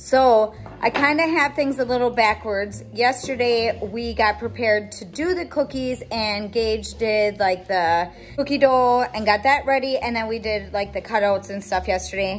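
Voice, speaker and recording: Faint music plays in the background. Over it, a woman speaks with ordinary pitch variation. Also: moderate pace. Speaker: family vlogger. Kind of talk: casual vlog chat. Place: home room. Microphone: phone near.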